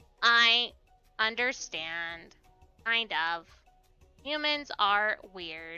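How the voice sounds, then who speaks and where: Faint music plays behind a woman doing a put-on character voice at a fairly high pitch. She speaks very slowly with long, frequent pauses. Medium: game stream. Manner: stiff, formal.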